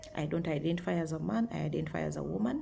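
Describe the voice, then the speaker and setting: A woman talks at a fairly quick clip, her voice echoing audibly in the room. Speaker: video blogger. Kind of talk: casual talk to camera. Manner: hesitant, many fillers.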